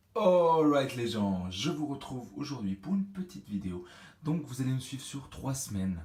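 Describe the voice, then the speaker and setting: The speaker is a man with a somewhat breathy voice. His pace is fairly slow. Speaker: fitness vlogger. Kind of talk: vlog. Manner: hesitant, many fillers.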